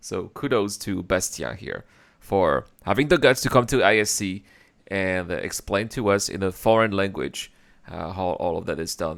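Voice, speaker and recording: With a French accent, a man speaks at a moderate pace in a fairly low pitch with ordinary pitch variation, captured in a very clean recording with a silent background. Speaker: gaming reaction youtuber. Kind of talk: reaction commentary. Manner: animated.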